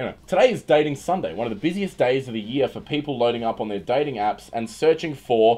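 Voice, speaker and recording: A man with an Australian accent talks at a very fast pace, with hardly any pauses. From Western Australia. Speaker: livestreamer and comedian. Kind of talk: casual livestream chat; reading news aloud. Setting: livestream. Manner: loud.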